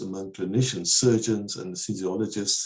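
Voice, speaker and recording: Against a quiet background, a man with a fairly low voice talks at a very fast pace. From South Africa, Eastern Cape. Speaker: researcher; interview guest. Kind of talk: webinar Q&A discussion. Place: home room. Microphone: earbuds.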